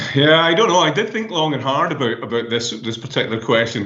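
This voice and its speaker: The room's echo is clearly heard as a man speaks fairly quickly. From Scotland. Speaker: professor. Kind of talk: interview. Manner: halting.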